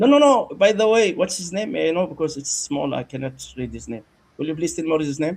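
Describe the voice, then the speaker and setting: A man talks at a very fast pace with a high pitch and lively intonation. His loudness swings widely. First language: Arabic. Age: 60s. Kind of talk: heated debate.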